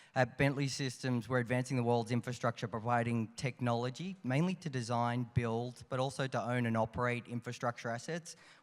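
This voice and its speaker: Speaking with an Australian accent, a man uses a medium pitch and fairly even intonation at a fairly quick pace. There are hardly any pauses in this very clean recording with a silent background. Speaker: infrastructure policy director. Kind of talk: conference panel. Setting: stage with audience.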